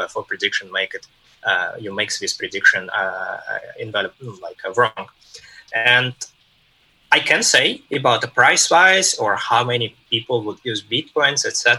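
A man with a Russian accent talks at a moderate pace, leaving long, frequent pauses. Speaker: tech executive. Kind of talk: interview. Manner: halting.

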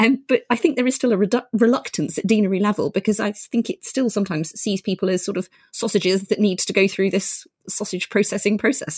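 In a very clean, dry, close recording with a silent background and no echo, a woman with a medium pitch and a somewhat breathy voice speaks very fast. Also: ordinary pitch variation. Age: 40s. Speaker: podcast host and GP. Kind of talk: interview chat.

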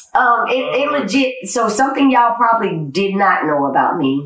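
With an American accent, a woman speaks fairly slowly at a fairly high pitch, her pitch swinging very widely amid audible room echo. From Georgia, US (Paulding County, metro Atlanta). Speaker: army veteran. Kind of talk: casual chat.

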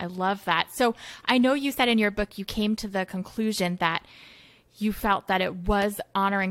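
Speaking at a fairly quick pace, a woman with an unremarkable speaking voice keeps a medium pitch and fairly even intonation. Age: 30s. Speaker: podcast host. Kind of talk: podcast interview.

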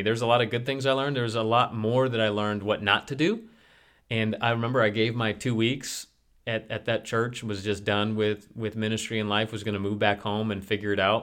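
A man with an American accent speaks at a fairly quick pace and medium pitch, in an ordinary speaking voice. The recording is very clean with a silent background. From US Midwest (Detroit suburbs, Chicago suburbs). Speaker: pastor. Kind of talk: casual chat.

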